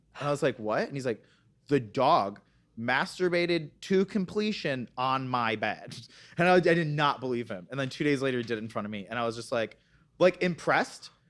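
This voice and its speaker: A man's medium-pitched voice, an unremarkable speaking voice, at a fairly quick pace with lively intonation, in a very clean recording with a silent background. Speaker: podcast guest. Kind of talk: casual chat.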